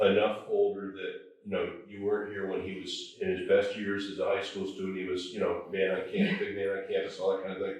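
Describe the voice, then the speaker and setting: With hardly any pauses, a man talks at a fairly quick pace. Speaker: historical society board member. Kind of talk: oral history interviewer questions.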